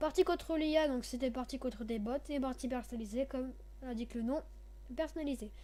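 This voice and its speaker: A woman at a high pitch with fairly even intonation. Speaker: gaming youtuber. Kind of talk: gameplay commentary. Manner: halting. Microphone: too quiet.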